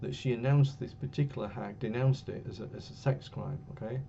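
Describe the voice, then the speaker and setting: A somewhat breathy man with an English accent speaks at a medium pitch and a moderate pace with fairly even intonation, and there is audible room echo. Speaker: university lecturer. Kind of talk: lecture. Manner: hesitant, many fillers. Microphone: a bit quiet.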